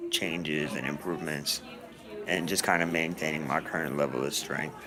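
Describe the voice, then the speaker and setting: Over crowd noise and audible room echo, a man talks at a moderate pace with a very deep, low pitch. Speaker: vlogger with a neuromuscular condition. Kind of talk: personal video diary. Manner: halting, many fillers.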